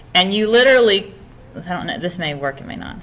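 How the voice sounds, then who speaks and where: Audible room echo surrounds a woman speaking at medium pitch with lively intonation. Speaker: instructor. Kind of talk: lecture. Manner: fast.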